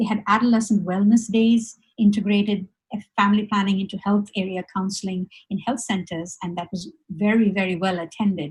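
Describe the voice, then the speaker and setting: Speaking at a fairly quick pace, a woman sounds somewhat breathy at a medium pitch. Her intonation stays monotone and flat. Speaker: webinar presenter. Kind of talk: presentation. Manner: fast; halting, many fillers.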